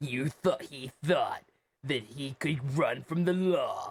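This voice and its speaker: Putting on a dramatic character voice, a man speaks at a fairly slow pace and a fairly high pitch. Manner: dramatic, portentous.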